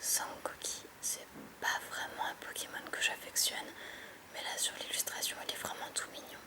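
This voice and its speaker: A woman whispers in a calm, relaxed tone over noticeable background noise. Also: fairly slow pace. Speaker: YouTuber. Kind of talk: relaxing ASMR-style Pokémon card opening. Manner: calm, soft-spoken, relaxed.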